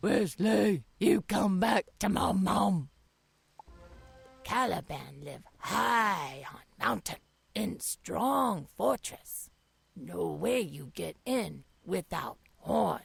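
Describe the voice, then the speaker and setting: With music in the background, a raspy put-on character voice at a low-to-middle pitch speaks at a very slow pace. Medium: video game. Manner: broken, clipped sentences without articles; slow, plain and direct.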